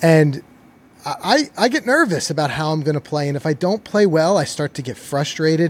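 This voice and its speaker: With an enthusiastic tone, a man talks at a fairly quick pace and fairly high pitch, his pitch varying in an ordinary way on a very clean recording with a silent background. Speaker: podcast host. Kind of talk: casual interview.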